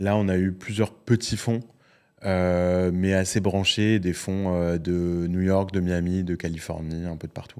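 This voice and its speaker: Very slowly, a man speaks with a very deep, low pitch in a monotone, flat intonation. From France. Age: 40s. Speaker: entrepreneur and investor. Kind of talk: casual interview conversation. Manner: many hesitations and repeated words.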